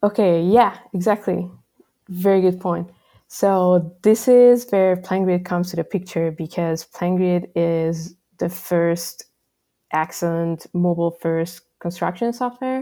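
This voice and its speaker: A woman speaks with a Hungarian accent at a fairly slow pace, her pitch fairly low. The recording is very clean, with a silent background. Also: ordinary pitch variation. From Hungary. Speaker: software developer. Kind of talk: interview. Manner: casual, frequent fillers.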